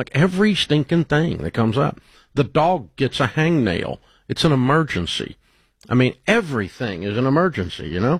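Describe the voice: A man with a medium pitch and a slightly husky edge talks at a moderate pace with big pitch swings.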